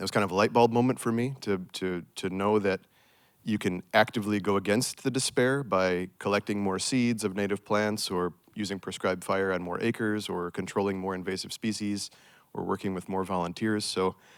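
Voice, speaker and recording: An ordinary speaking voice with an American accent talks at a fairly quick pace with fairly even intonation, on a very clean recording with a silent background. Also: man, fairly low pitch for a man. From United States. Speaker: restoration ecologist, project manager. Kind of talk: panel discussion.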